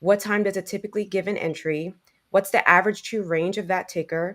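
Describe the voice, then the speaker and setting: An animated tone at a fairly quick pace, in a very clean recording with a silent background. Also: woman. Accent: New York. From New York, the Bronx. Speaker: trading educator. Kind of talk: panel discussion. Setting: live podcast. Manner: direct, animated.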